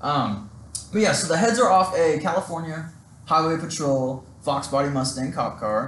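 A man is speaking with audible room echo. There is noticeable background noise. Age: 20s. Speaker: car media business owner. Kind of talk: casual chat.

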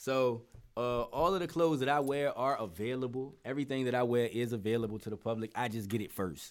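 Fairly quick speech from a man, medium in pitch, with ordinary pitch variation. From Norfolk, Virginia, US. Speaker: entrepreneur and rapper. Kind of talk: casual interview chat. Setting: video call.

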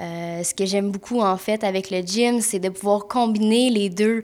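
The speaker has a Quebec accent and fairly even intonation. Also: woman. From Quebec, Mont-Tremblant. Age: 20s. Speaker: massage therapist and podcast co-host. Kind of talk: casual chat.

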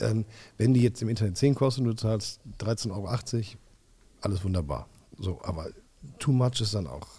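A man's moderate pace with long, frequent pauses and ordinary pitch variation. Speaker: podcast co-host. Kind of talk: casual chat. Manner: loud; animated.

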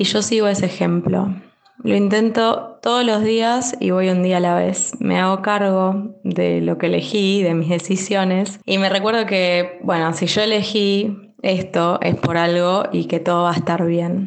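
Using an ordinary speaking voice, a woman talks at medium pitch and a fairly slow pace. Her intonation is fairly even and her loudness very even. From Bahía Blanca, Buenos Aires province, Argentina. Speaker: clinical research worker, expat mother. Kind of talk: prepared testimony recording.

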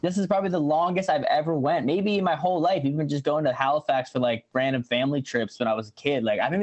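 A man speaks at a fairly quick pace and a fairly high pitch, with ordinary pitch variation. His is an unremarkable speaking voice. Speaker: musician. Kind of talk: casual chat. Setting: video call.

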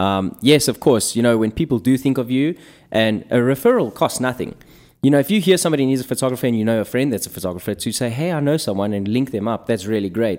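A man at a very fast pace with lively intonation, on a very clean recording against a silent background. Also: medium pitch for a man. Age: 30s. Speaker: photographer. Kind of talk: casual chat.

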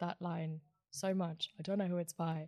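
A woman speaks at a moderate pace in a fairly low, dark and mellow voice. Her intonation stays monotone and flat. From India, Mumbai. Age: 20s. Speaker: photographer and music journalist. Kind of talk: casual chat.

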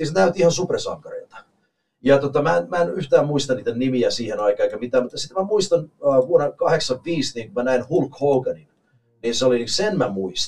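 The voice is somewhat breathy, with lively intonation and an English accent. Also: man, fairly high pitch for a man, moderate pace. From Canada, Finnish immigrant family. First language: English (speaking Finnish). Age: 40s. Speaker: professional wrestler. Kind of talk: casual chat.

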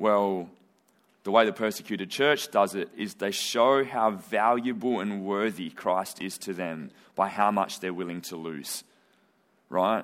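A man has an ordinary speaking voice, fairly low in pitch. He talks fairly slowly with ordinary pitch variation. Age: young. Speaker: missions organisation representative. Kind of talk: church talk.

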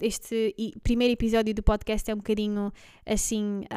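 Against a very clean recording with a silent background, a woman speaks at a moderate pace and fairly high pitch in an ordinary speaking voice. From Belgium. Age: 20s. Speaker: podcast co-host, office worker. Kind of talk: casual chat.

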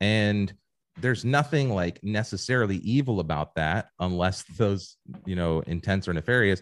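A man with an American accent and an ordinary speaking voice talks at a moderate pace, his fairly low pitch varying in an ordinary way, in a very clean recording with a silent background. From Ohio. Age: 30s. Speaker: marketing executive. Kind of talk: casual interview.

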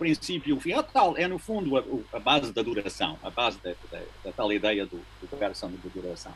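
A man speaks at a moderate pace. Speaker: physicist with an interest in philosophy of time. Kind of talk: casual family conversation about philosophy.

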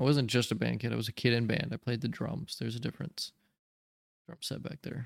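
Vocal fry runs through a man's medium-pitched voice, with ordinary pitch variation and a fairly quick pace. The sound is dry and close, with no echo. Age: young. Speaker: podcast host. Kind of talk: casual chat.

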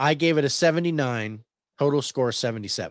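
A man talking at a very slow pace against a quiet background. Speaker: movie podcast host. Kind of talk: casual chat, movie review show. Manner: casual, chatty.

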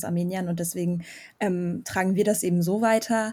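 In a very clean recording with a silent background, a woman speaks at a moderate pace with a dark, mellow, somewhat breathy tone. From Germany. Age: 20s. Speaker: student, Armenian diaspora youth activist. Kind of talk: casual interview.

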